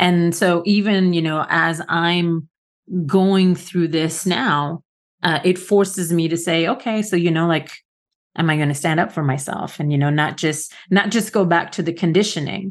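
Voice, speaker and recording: In an unremarkable speaking voice, a woman with a fairly low pitch talks at a moderate pace with fairly even intonation against a quiet background. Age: 50s. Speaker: podcast co-host. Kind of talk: casual chat.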